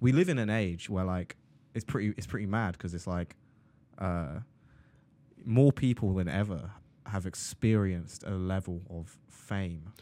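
A man speaks in a very deep, low voice with a dark, mellow tone and an English accent, his pitch varying in an ordinary way. He leaves long, frequent pauses, and the recording is very clean with a silent background. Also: fairly slow pace. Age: 20s. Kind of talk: casual chat.

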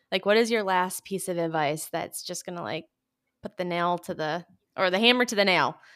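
On a very clean recording with a silent background, a woman with an American accent speaks at a medium pitch with ordinary pitch variation. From US Midwest, Michigan. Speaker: podcast host. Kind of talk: casual chat.

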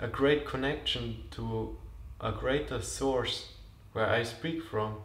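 The speaker is a man. Room echo can be heard around his voice. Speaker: podcast host. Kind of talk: spiritual monologue. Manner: slow.

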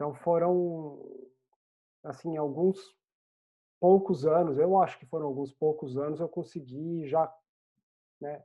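A woman with a very deep, low pitch talks at a fairly slow pace, her pitch varying in an ordinary way. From Brazil, Vale do Paraíba (Pindamonhangaba). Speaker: software developer. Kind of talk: interview.

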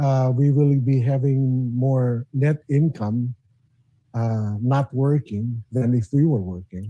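A man's somewhat breathy, medium-pitched voice is captured with a dry, close sound and no echo. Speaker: former radio DJ. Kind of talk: casual chat. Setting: video call.

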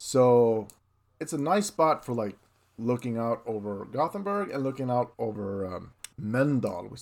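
A man's medium-pitched voice with a Swedish accent, lively intonation and big swings in loudness. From northern Sweden. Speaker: illustrator, podcast co-host. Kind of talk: casual chat.

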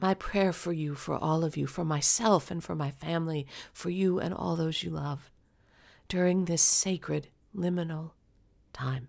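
A woman with an unremarkable speaking voice speaks at a fairly low pitch on a very clean recording with a silent background. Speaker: podcast host and intuitive. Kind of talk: solo podcast address, then a read-aloud blessing poem. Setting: recording alone in her office. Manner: slow, gentle, hushed and soothing, with long pauses; warm, sincere, personal.

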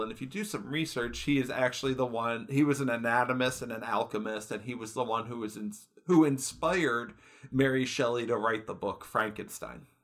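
A man talks in a plain, everyday voice at a medium pitch. His pace is fairly quick, with ordinary pitch variation. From Michigan. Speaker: podcast co-host, IT help desk technician. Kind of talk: casual chat.

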